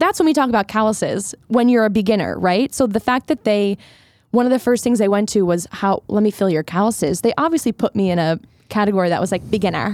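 With an American accent, a woman talks very fast at medium pitch with lively intonation and very even loudness, in a very clean recording with a silent background and a dry, close sound with no echo. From US Northeast, Philadelphia suburbs. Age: 20s. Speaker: singer-songwriter. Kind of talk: casual chat. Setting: studio.

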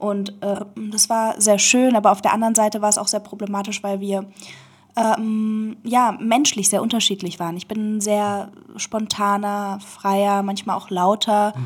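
In a monotone, flat intonation, a woman with a medium pitch speaks at a fairly slow pace. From Berlin, Germany. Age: 20s. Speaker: interview guest. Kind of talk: casual chat. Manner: halting.

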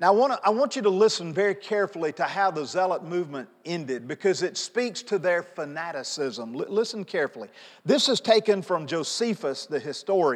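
A man with a high pitch talks at a fairly quick pace, his pitch swinging very widely and hardly any pauses breaking his speech. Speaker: pastor. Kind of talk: sermon. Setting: church. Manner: animated; loud.

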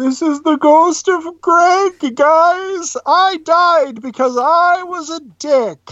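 This put-on character voice sits at an extremely high pitch. It moves at a very slow pace with hardly any pauses. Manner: ghostly, eerie.

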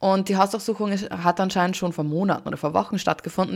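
At a fairly quick pace, a woman with medium pitch and ordinary pitch variation has a plain, everyday voice on a very clean recording with a silent background. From Austria. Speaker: podcast co-host. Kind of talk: casual chat.

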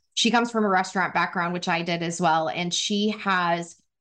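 With an American accent, a woman in a normal speaking voice talks at a fairly quick pace and medium pitch, her intonation fairly even against a quiet background. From Wyoming, US. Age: 30s. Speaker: former marketing executive and women's career advocate. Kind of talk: interview conversation.

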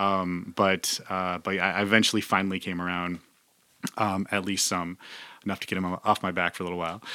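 A man with a very deep, low pitch talks at a fairly quick pace in a bright, sharp tone with monotone, flat intonation. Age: 40s. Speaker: podcaster. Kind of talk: casual chat.

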